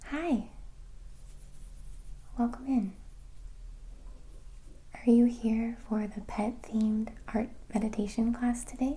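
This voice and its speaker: Her voice has a dark, mellow tone and a fairly high pitch with fairly even intonation. The woman speaks at a very slow pace with long, frequent pauses. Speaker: art meditation guide. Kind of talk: ASMR roleplay, guided art meditation. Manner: whispered, soft-spoken.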